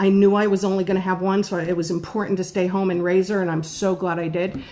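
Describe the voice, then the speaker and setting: Noticeable background noise runs under this recording. A woman speaks at a fairly quick pace at a medium pitch. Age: 50s. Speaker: home-based baker. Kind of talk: live stream talk. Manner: fast.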